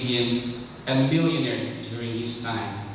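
Strong room echo surrounds a man's voice, with light background noise behind him. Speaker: lay preacher. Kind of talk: sermon. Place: church.

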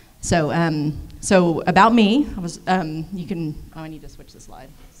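The voice keeps a moderate pace with ordinary pitch variation. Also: woman, low pitch for a woman.

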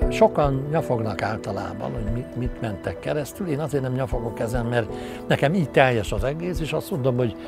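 Clear music plays in the background as a man talks, his voice sounding dry with no echo. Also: fairly quick pace. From Hungary. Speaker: animated film director. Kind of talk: interview answer. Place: garden. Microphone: lapel.

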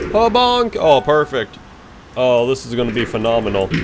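With music behind him, a man talks at a moderate speed. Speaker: gaming youtuber. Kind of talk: gameplay commentary. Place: home room. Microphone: headset.

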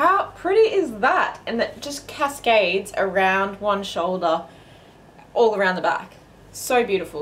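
In an Australian accent, a woman speaks at a fairly slow pace with a fairly high pitch. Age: 30s. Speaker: fashion vlogger. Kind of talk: casual haul video talk. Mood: upbeat, enthusiastic. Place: home room. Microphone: camera far.

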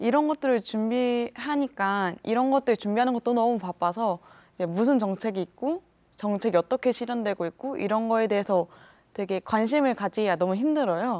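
With a plain, everyday voice, a woman speaks at a moderate pace in a fairly high pitch with ordinary pitch variation. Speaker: student union president; talk show guest. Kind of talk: panel discussion. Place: studio. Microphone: lapel.

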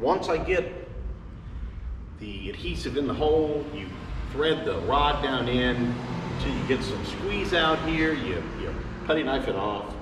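A man speaking at a fairly slow pace, with long, frequent pauses and noticeable background noise. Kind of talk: tutorial. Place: workshop. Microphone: camera far.

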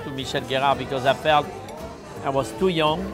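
With clear music behind him, a man's words come at a fairly quick pace. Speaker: guest. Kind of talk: casual conversation. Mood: relaxed, reminiscing. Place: bar. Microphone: lapel.

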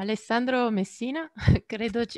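A woman at a moderate pace with fairly even intonation, dry sound with no echo, and a quiet background. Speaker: webinar moderator. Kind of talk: webinar moderation. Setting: video call. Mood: friendly, smiling. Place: home room. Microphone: headset.

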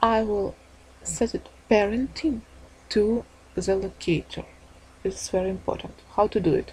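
In a non-native accent, a woman speaks at a medium pitch with ordinary pitch variation. Her pace is moderate, broken by long, frequent pauses. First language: not English. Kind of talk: tutorial. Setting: screen recording voiceover. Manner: halting, apologetic.

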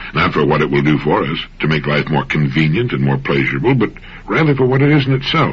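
Very wide swings in pitch from a man. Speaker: motivational radio host. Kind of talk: motivational radio talk. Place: studio.

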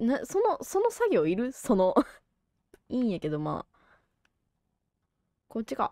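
A woman at a fairly slow pace, with long, frequent pauses and a dry, close sound free of echo. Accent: Kansai. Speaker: game streamer. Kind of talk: casual let's-play commentary.

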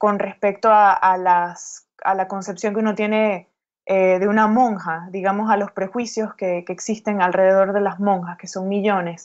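Against a quiet background, a woman with a medium pitch talks at a moderate pace in a monotone, flat intonation. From Venezuela, Caracas. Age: 30s. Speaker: writer. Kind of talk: interview. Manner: halting.

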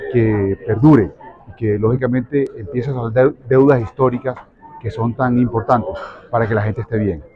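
Over noticeable background noise, the voice moves at a fairly quick pace with ordinary pitch variation and a dry sound with no echo. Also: man. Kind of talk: interview answer. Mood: grateful, pleased. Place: hall. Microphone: handheld.

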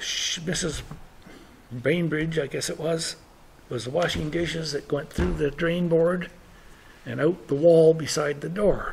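Speaking at a fairly slow pace, a man with a fairly high voice and fairly even intonation leaves long, frequent pauses. Noticeable background noise runs under him. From British Columbia. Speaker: oral history storyteller. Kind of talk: storytelling talk to an audience. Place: hall.

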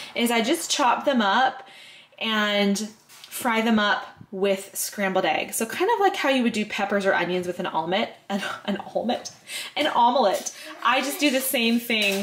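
Her pitch moves in an ordinary way. The woman talks at a moderate pace. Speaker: vlogger. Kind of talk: casual vlog chat. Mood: cheerful, relaxed. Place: kitchen. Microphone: phone near.

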